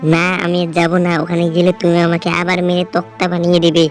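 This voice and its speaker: A female-sounding cartoonish character voice at a middle pitch and moderate pace, with clear music in the background. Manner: sneaky, scheming.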